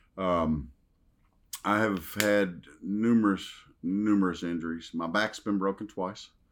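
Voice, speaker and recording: In a very clean recording with a silent background, a man with a Southern US accent speaks fairly slowly, with a fairly low pitch and fairly even intonation. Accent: Southern drawl. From US South, Western Kentucky. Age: 50s. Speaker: retired professional wrestler. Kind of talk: casual interview. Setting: horror convention.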